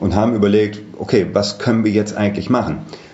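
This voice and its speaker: A man with a fairly low pitch talks at a fairly quick pace, with audible room echo and noticeable background noise. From Germany, Düsseldorf (Rhineland). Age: 40s. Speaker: hotel manager. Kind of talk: interview.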